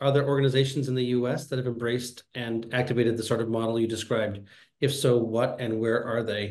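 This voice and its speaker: A man's fairly even intonation is heard with audible room echo around it. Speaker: conference host and small farmer; session host or moderator. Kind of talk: panel moderation. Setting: video call. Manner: halting, many fillers. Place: home room. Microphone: webcam.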